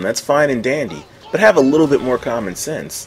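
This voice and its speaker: Medium-pitched male speech with noticeable background noise behind it. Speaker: gaming commentator. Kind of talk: gameplay commentary.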